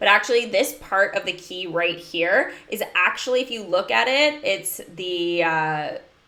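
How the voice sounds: Lively intonation marks the delivery. It comes in a natural reading voice.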